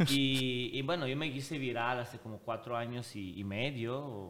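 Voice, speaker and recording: Against audible room echo, a man with an Italian accent speaks at a medium pitch with ordinary variation and a bright, sharp tone. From Switzerland, Italian family. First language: Italian (speaking Spanish). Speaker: social media personality. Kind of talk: casual chat. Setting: recording venue in a house.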